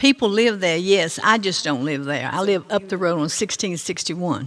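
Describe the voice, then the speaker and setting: Speaking at a moderate pace with lively intonation, a woman with a Virginia accent is heard over noticeable background noise. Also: medium pitch for a woman. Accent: Southern US (Virginia). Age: 80s+. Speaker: resident speaking at public hearing. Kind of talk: public comment at meeting. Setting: county board meeting room.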